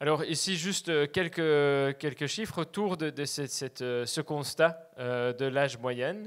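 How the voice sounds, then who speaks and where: In a Flemish accent, a man speaks at a fairly slow pace with a fairly high pitch and ordinary pitch variation, on a very clean recording with a silent background. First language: Dutch (speaking French). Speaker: land access cooperative representative. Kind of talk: presentation talk. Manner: hesitant, many fillers.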